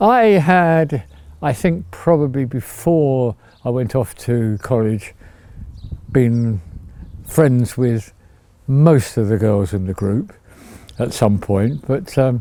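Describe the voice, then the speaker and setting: A man with an English accent speaks at a medium pitch in a dark, mellow tone with lively intonation. His pace is very slow, broken by long, frequent pauses. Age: 80s+. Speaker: retiree sharing life story. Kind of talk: reminiscing interview. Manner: halting.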